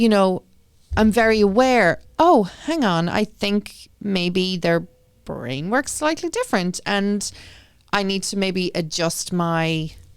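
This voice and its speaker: Lively intonation in an Irish accent at a very slow pace, over a very clean recording with a silent background. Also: woman, medium pitch for a woman. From Ireland. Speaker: school committee member and parent. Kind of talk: interview.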